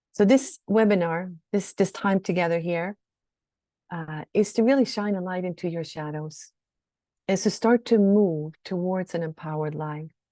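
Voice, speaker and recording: With a Swedish accent, a woman speaks at a medium pitch and fairly slow pace, using ordinary pitch variation and a dark, mellow tone. The sound is dry and close with no echo, and the background is quiet. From Sweden. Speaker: shadow work coach. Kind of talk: webinar teaching. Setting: online webinar.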